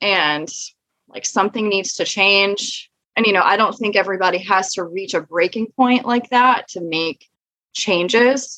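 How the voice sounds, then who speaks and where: A woman speaks at a medium pitch with a bright, sharp tone. Her pace is fairly slow, and her pitch varies in an ordinary way. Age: 20s. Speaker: type 1 diabetic sharing her story. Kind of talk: interview testimony.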